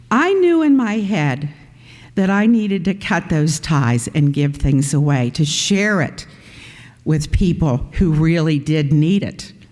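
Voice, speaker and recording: A woman speaks fairly slowly in a very deep, low pitch, with lively intonation and very even loudness. Room echo is audible. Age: 70s. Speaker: pastor. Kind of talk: sermon.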